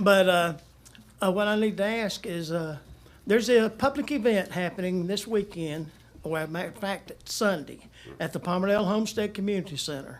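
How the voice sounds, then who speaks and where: A man speaks in a high voice with a Southern US accent. His pace is fairly quick. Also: ordinary pitch variation. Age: 70s. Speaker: resident speaking at public comment. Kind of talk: public comment. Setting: city council meeting at microphone.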